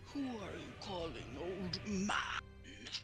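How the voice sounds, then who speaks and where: A put-on character voice sits at a middle pitch. Loud background noise fills the recording. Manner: indignant.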